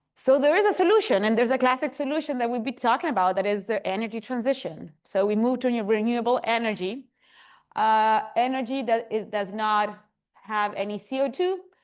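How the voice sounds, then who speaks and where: Speaking at a fairly quick pace with a Spanish accent, a woman uses a fairly high pitch with ordinary pitch variation against a quiet background. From Chile. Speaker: geoscience researcher. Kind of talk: lecture.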